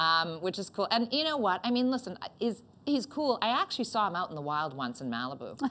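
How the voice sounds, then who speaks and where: An animated woman's voice in a Canadian accent, bright and sharp, with very wide pitch swings, vocal fry, and a fairly quick pace. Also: medium pitch for a woman. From Northern Ontario, Canada. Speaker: comedian and talk show host. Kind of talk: comedic interview chat. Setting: stage.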